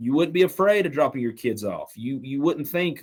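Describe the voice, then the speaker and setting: The speaker is a man. He talks with a Southern accent. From Western North Carolina, Canton. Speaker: small-town mayor. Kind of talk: podcast interview. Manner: impassioned.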